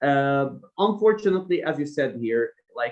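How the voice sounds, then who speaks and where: A man's fairly high voice with a non-native accent. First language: not English. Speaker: academic researcher. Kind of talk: seminar Q&A. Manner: hesitant with fillers.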